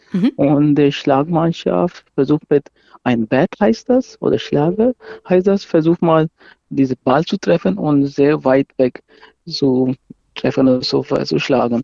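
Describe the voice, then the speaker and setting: A man at a fairly high pitch and a very slow pace. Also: very even loudness. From Pakistan. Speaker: amateur cricket player and organiser. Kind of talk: interview explanation. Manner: halting, non-native phrasing.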